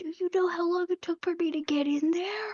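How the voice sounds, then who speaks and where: Putting on a character voice, a woman talks at a moderate pace with extremely high pitch and fairly even intonation. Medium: actual play. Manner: brash, dismissive.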